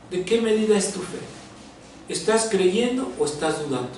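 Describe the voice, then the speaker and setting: A man speaks with lively intonation. Audible room echo and noticeable background noise fill the recording. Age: 60s. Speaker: pastor. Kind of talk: sermon.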